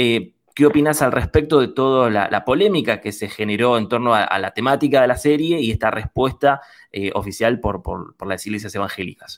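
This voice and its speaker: With lively intonation and a fairly quick pace, a man talks in a plain, everyday voice at medium pitch. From Buenos Aires western suburbs. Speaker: student radio host. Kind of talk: radio interview.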